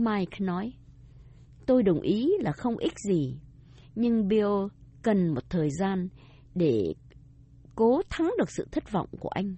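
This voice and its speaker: A somewhat breathy woman's voice with long, frequent pauses. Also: medium pitch for a woman, lively intonation, fairly slow pace. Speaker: radio language teacher. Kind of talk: scripted bilingual lesson dialogue.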